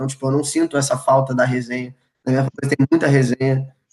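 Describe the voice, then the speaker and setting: A man's voice at a fairly high pitch. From Brazil, Rio de Janeiro (Ilha do Governador). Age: 20s. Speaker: college football player. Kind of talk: casual chat. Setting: live stream video call.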